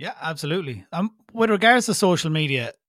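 A man speaks with an Irish accent. His intonation is lively. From Ireland. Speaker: podcast host. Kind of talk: casual interview chat.

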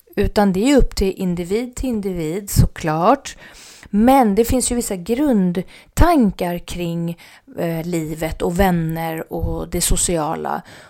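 On a very clean recording with a silent background, a woman with a fairly low pitch and a dark, mellow tone speaks at a very slow pace with lively intonation. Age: 40s. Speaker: podcast host. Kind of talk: solo casual talk.

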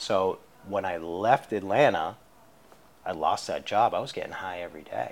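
With an American accent, a man in a normal speaking voice talks at a moderate pace and fairly low pitch, with ordinary pitch variation. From Boston area, Massachusetts. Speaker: addiction recovery mentor. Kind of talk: interview testimony. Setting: studio, in person.

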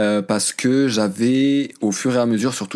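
The man's intonation stays fairly even, and his pace is moderate. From France, of Moroccan parents. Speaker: journalist and podcaster. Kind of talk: interview. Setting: remote call. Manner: hesitant, many fillers.

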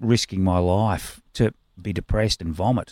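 With an Australian accent, a man speaks in a very deep, low pitch and fairly even intonation, the sound dry and close with no echo. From Australia, Melbourne. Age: 60s. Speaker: punk rock musician. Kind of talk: casual chat.

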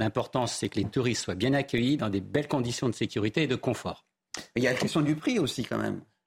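In a very clean recording with a silent background, a man talks very fast at medium pitch, his voice somewhat breathy and his pitch varying in an ordinary way. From eastern Paris. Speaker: insurer and entrepreneur. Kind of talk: televised debate.

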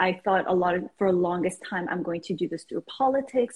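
Somewhat breathy and at a medium pitch, a woman talks at a very fast pace with ordinary pitch variation, the sound dry and close with no echo. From Iran, raised in Canada. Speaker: life coach. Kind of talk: casual interview. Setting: video call.

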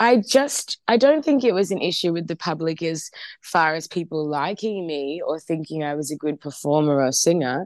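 With an Australian accent, a woman of fairly low pitch talks at a moderate pace with lively intonation and hardly any pauses. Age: 20s. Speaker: singer. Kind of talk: interview.

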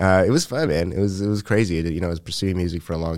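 With a Montreal accent, a man speaks with fairly even intonation on a very clean recording with a silent background. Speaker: comedian and musician. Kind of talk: casual chat.

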